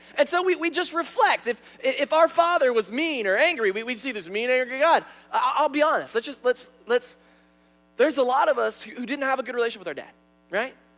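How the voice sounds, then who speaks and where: A man talks at a fairly quick clip with very wide swings in pitch over noticeable background noise. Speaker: pastor. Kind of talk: sermon. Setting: church. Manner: animated.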